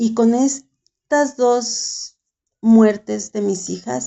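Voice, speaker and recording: A woman with a Mexican accent and lively intonation. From Mexico. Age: 70s. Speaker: writer and caregiver. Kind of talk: interview testimony.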